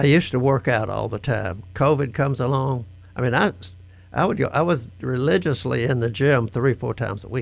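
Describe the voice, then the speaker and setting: This man speaks at a fairly quick pace with vocal fry. The recording is very clean, with a silent background. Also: medium pitch for a man, ordinary pitch variation. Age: 80s+. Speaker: nonprofit board member. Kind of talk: radio interview.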